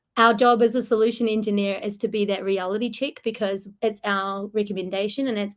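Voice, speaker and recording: This woman talks at a moderate pace. Her pitch sits in the middle of her range and varies in an ordinary way. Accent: strong New Zealand. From New Zealand. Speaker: solution engineer. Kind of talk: webinar presentation Q&A.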